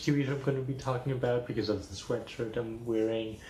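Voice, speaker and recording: A man's somewhat breathy voice carries a dark, mellow tone with audible room echo. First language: Spanish. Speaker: video blogger. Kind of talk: casual chat.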